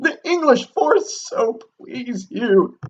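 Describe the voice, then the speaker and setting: A man puts on a character voice pitched extremely high. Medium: read story. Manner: nervous.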